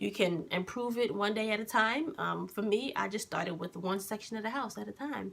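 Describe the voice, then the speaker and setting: Speaking at a fairly quick pace, a woman has a medium pitch and ordinary pitch variation. Vocal fry runs through her voice. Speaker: lifestyle vlogger. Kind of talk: casual vlog talk to camera. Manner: hesitant, many fillers.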